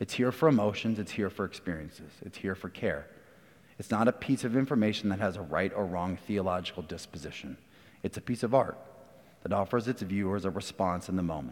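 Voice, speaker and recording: With a normal speaking voice, a man talks at a fairly quick pace, his fairly low pitch carried by lively intonation. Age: 30s. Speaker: church elder. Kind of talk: sermon.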